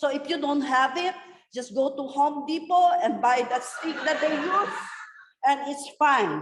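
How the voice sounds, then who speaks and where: At a moderate pace, a woman with a high pitch speaks amid audible room echo. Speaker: nurse educator. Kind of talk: lecture. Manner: loud, emphatic.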